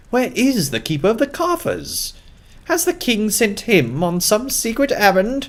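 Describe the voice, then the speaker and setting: A man puts on a character voice in a British accent, pitched high. He delivers it at a moderate pace. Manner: indignant, upset.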